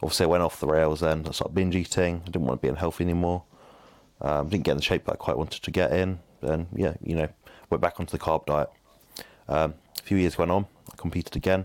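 On a very clean recording with a silent background, a man with a southern English accent speaks at a very fast pace, yet with long, frequent pauses. His very deep, low voice carries vocal fry and fairly even intonation. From southern England. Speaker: bodybuilding nutrition coach and podcast host. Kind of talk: casual chat.

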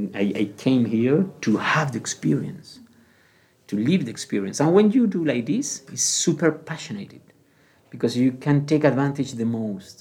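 In a Spanish accent, a man speaks with a fairly high pitch and lively intonation. He keeps a moderate pace. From Canary Islands, Spain. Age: 40s. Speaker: retail manager. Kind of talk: interview.

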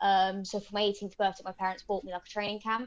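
In a British accent, a woman talks at a medium pitch with fairly even intonation. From Britain. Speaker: mixed martial arts fighter. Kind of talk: interview.

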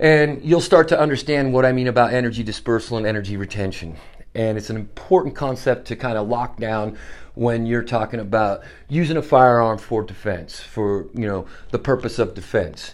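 With an ordinary speaking voice, a man talks at a moderate pace and medium pitch, using ordinary pitch variation. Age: 50s. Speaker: podcast host, Marine veteran. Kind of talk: solo podcast monologue.

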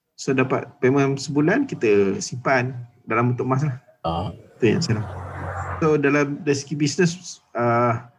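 A man's voice: an ordinary speaking voice, with ordinary pitch variation. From Malaysia, Johor. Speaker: gold dealer and business owner. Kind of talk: casual chat.

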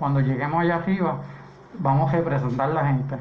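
With audible room echo and noticeable background noise, a man talks at a fairly high pitch using fairly even intonation. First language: English (speaking Spanish). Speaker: political candidate. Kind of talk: radio panel discussion.

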